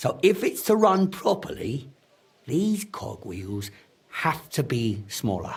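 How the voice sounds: In a put-on character voice, a man speaks slowly at a medium pitch, with a husky, rough edge and big pitch swings.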